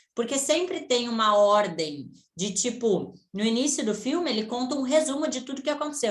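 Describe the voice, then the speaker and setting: Audible room echo surrounds a woman speaking. Her pitch is fairly high and her intonation lively. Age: 20s. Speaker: online business mentor. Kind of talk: online mentoring session. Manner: casual, conversational.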